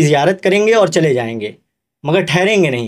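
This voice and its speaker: Here a man speaks in a high pitch. His intonation is lively. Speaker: journalist. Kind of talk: podcast interview host.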